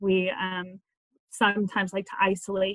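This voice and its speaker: A woman with an American accent. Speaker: school librarian and biblical counselor. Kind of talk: panel discussion.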